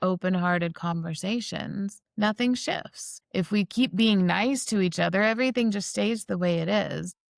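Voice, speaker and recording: A woman with an American accent has an unremarkable speaking voice and talks at a fairly slow pace. The sound is dry and close with no echo, and the recording is very clean with a silent background. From US South. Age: 40s. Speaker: spiritual practitioner. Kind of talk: podcast interview.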